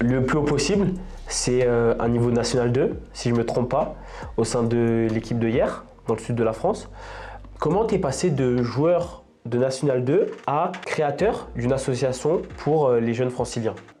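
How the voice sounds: With a dark, mellow tone and medium pitch, a man talks at a moderate pace using ordinary pitch variation.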